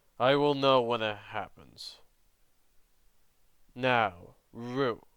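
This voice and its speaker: This is a put-on character voice from a man, pitched in the medium range. His delivery comes at a very slow pace. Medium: read story. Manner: cold, contemptuous, commanding.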